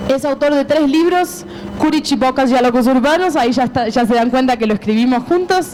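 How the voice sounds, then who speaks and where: Over noticeable background noise, a high-pitched woman with an Argentine accent talks at a fairly quick pace, her loudness very even. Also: ordinary pitch variation. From Argentina, Buenos Aires. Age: 30s. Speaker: publisher. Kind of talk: conference talk.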